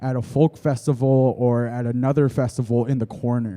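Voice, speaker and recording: Against a quiet background, a man speaks at a moderate pace with a medium pitch and a dark, mellow tone. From Blackfoot community, Siksika, Alberta, Canada. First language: Blackfoot. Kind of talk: panel discussion. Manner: halting with repetitions.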